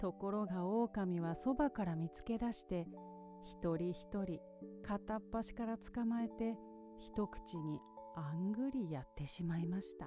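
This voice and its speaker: Soft-spoken and calm, a woman with a fairly low pitch talks with lively intonation while music plays in the background. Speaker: narrator. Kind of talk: bedtime story reading. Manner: soft, calm.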